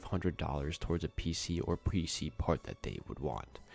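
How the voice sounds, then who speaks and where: A man's voice over background music. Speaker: gaming streamer. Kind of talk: live gameplay stream commentary. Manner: casual, animated.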